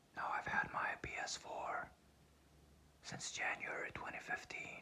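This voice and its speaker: A man whispers at a fairly slow pace. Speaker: ASMR creator. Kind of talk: ASMR whispered sleep video. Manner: whispered, calming.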